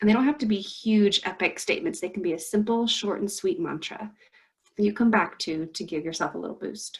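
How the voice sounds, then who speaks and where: A woman with a medium-pitched, somewhat breathy voice speaks at a fairly quick pace with lively intonation. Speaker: counselor presenting a career workshop. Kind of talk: workshop presentation. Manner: fast.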